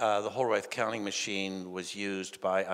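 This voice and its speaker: A man speaks with a very deep, low pitch. The background is quiet. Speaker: speaker. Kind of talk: conference talk. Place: hall. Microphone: handheld.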